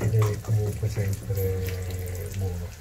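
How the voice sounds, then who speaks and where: A man talks while clear background noise can be heard. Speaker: home cook host. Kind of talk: cooking tutorial. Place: kitchen. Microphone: lapel.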